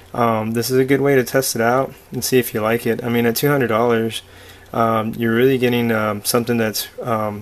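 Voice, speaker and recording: The man talks at a moderate pace in a medium pitch with monotone, flat intonation. Noticeable background noise is audible. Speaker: artist reviewing a drawing tablet. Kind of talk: product review tutorial. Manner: hesitant, many fillers.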